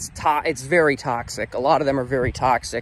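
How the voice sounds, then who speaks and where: With ordinary pitch variation, a man talks at a fairly quick pace in a dry sound with no echo. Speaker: vlogger. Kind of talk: casual vlog chat. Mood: sad, reflective. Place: open country. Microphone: phone near.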